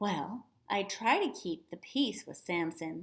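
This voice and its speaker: Putting on a shrill character voice at a medium pitch, a woman speaks at a fairly slow pace. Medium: read story. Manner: fussy, doting.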